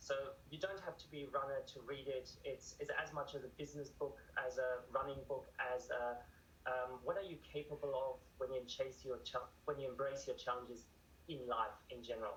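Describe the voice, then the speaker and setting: This man talks at a moderate pace. He has a German accent. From Germany. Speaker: author and ultramarathon runner. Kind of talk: TV news interview.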